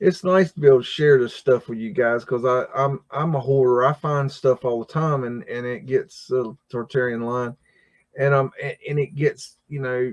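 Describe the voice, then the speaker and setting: A man with a normal speaking voice talks at a moderate pace and medium pitch, using ordinary pitch variation, with big swings in loudness and a dry, close sound with no echo. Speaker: livestream host. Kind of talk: casual live stream commentary. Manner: casual, filler-heavy.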